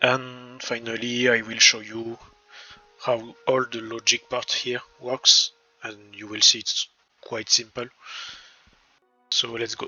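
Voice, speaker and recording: Speaking in a French accent, a man goes at a very slow pace with long, frequent pauses, a medium pitch and big swings in loudness. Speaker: gaming YouTuber. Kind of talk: game tutorial. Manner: hesitant, repeats words.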